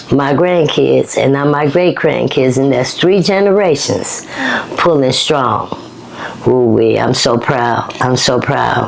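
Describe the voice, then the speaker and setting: A woman with a very deep, low pitch and ordinary pitch variation talks at a very slow pace with very even loudness, amid noticeable background noise and audible room echo. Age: 50s. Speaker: author in addiction recovery. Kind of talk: casual interview. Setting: at home.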